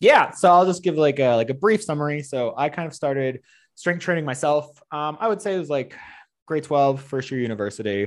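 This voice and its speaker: With a normal speaking voice, a man talks at a fairly quick pace and fairly high pitch with lively intonation over a quiet background. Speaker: fitness trainer. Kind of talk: casual interview.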